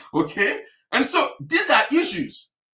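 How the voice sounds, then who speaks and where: A man speaks in an animated tone with an African accent. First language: an African language. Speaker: health practitioner. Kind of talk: webinar talk.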